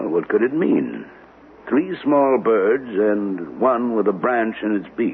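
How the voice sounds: In a put-on character voice, a man speaks at a slow pace with fairly low pitch and big pitch swings.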